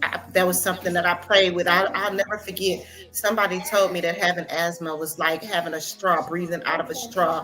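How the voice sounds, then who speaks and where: With hardly any pauses, a woman with a fairly low pitch talks at a fairly quick pace and fairly even intonation against noticeable background noise. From Louisiana (Lake Charles). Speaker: bereaved mother. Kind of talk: interview testimony. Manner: halting.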